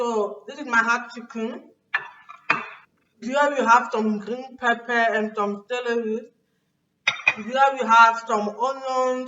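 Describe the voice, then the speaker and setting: A woman with fairly high pitch talks at a very slow pace in a monotone, flat intonation. Her speech has long, frequent pauses and big swings in loudness. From Cameroon. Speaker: YouTuber, home cook. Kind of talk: cooking tutorial vlog. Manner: casual, chatty.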